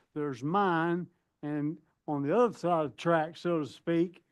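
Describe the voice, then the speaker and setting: A man speaks loudly in a fairly high pitch. The background is quiet. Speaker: property owner appealing tax assessment. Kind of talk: testimony.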